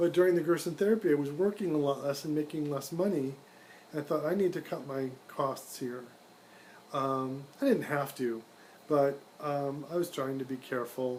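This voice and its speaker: Moderately paced speech from a man, fairly high in pitch, with ordinary pitch variation. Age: 60s. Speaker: IT specialist and video blogger. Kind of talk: informal monologue. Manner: hesitant, many fillers.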